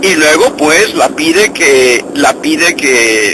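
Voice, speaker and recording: A man with a high pitch speaks at a very slow pace with lively intonation. Noticeable background noise sits behind him. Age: 60s. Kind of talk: spoken reflection. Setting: in a car while driving. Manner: halting, with many repetitions.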